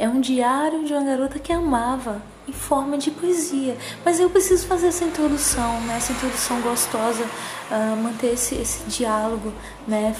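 A woman speaks at a high pitch and moderate pace, her tone calm and her intonation lively. Audible room echo and noticeable background noise surround her. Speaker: podcaster. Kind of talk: personal monologue. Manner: calm, sleepy-sounding.

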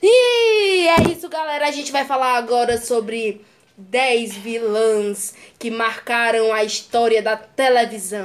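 Over noticeable background noise, a woman speaks at a very slow pace in a fairly high voice with ordinary pitch variation. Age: young. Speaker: podcast co-host. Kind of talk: casual chat.

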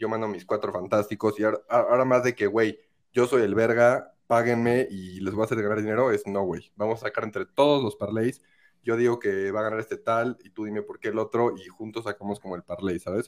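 With a central Mexican accent, a man speaks at a medium pitch and a fairly quick pace. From Mexico, Querétaro. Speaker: sports betting tipster. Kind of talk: casual chat. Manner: animated.

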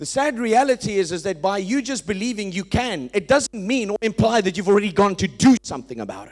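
Speaking at a fairly quick pace with hardly any pauses, a man with a high pitch and lively intonation comes through on a very clean recording with a silent background. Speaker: preacher. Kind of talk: sermon. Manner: emphatic, preaching cadence.

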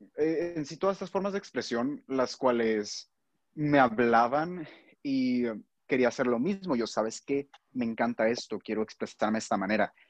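Lively intonation from a man at medium pitch and a moderate pace. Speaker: student. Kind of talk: casual chat. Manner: halting.

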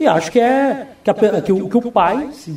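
A man is heard over noticeable background noise. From Brazil, Foz do Iguaçu (Paraná). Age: 30s. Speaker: mayoral candidate and teacher. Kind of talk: radio interview. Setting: radio studio.

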